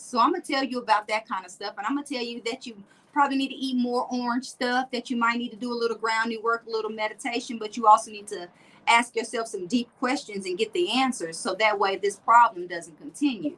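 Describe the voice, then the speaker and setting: Speaking at a fairly quick pace with an American accent, a woman uses a fairly high pitch and ordinary pitch variation. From US South, Tampa and Nashville. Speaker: motivational speaker and wellness coach. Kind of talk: interview chat. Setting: livestream interview.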